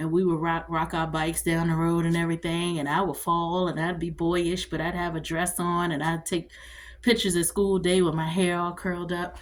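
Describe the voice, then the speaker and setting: Her tone is animated and her pace fairly quick. The woman's pitch is fairly low. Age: 40s. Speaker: vlogger, army veteran. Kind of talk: casual monologue vlog. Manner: fast.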